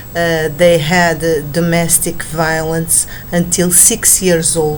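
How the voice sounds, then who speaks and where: Amid noticeable background noise and audible room echo, a woman with a non-native accent speaks very slowly at a fairly low pitch in a monotone, flat way. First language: Portuguese. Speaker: book vlogger. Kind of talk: book review monologue. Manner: halting, many fillers.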